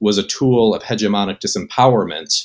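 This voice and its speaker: Speaking at a moderate pace, a man uses an unremarkable speaking voice pitched fairly low. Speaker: remote podcast guest. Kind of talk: debate argument. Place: home room. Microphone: webcam.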